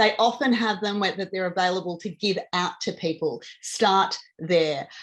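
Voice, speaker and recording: Here a woman talks with an Australian accent. Her pitch is medium. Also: ordinary pitch variation. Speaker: diabetes advocate presenter. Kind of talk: informational talk to camera. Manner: fast.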